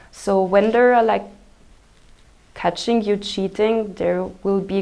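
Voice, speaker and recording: Speaking fairly slowly, a woman talks with a German accent. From Austria. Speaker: exchange student. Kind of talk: interview answers. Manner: halting, many fillers.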